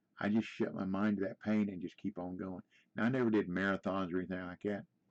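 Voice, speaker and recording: A man with an American accent talks at a very fast pace with a fairly low pitch and monotone, flat intonation. The sound is dry and close with no echo, over a quiet background. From US Midwest, Indiana. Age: 70s. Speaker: gaming streamer. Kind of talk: casual chat. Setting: live stream.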